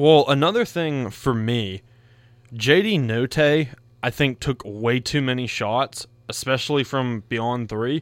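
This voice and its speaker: This man has an ordinary speaking voice at a medium pitch, with lively intonation. The recording is very clean, with a silent background. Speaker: sports radio co-host. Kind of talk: casual sports banter. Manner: playful, teasing.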